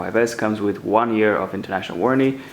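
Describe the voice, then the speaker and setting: A very fast pace over noticeable background noise. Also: man. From Romania. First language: Romanian. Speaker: tech YouTuber. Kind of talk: unboxing tutorial.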